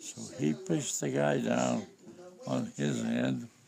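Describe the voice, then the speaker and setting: There is noticeable background noise. Over it, a man talks at a very slow pace. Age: 80s+. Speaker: war veteran. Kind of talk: interview answer.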